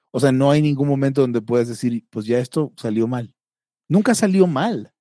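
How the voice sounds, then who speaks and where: A man with a Mexican accent speaks at a medium pitch with a dark, mellow tone. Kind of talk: casual chat.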